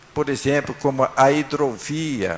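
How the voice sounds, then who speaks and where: A man's fairly high voice comes through at a very slow pace. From northern Paraná, Brazil. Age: 70s. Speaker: honoree. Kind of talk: acceptance speech. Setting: city council chamber with audience. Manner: halting.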